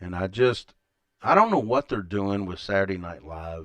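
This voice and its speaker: Against a quiet background, a man with a Kentucky accent and a fairly low voice speaks at a moderate pace with ordinary pitch variation. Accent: Kentucky Southern US. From Kentucky, Elizabethtown. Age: 50s. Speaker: podcaster. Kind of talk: live stream monologue. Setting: home live stream. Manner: casual, rambling pace.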